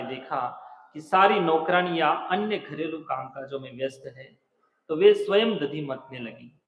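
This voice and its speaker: Ordinary pitch variation runs through the speech of a man with a non-native accent. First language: not Hindi (speaking Hindi). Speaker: religious preacher. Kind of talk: scripture discourse.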